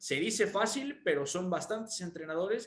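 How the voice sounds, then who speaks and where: Here is a man with a normal speaking voice. His intonation is lively and his pace moderate. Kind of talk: radio sports panel discussion, match analysis. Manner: relaxed, explanatory, measured.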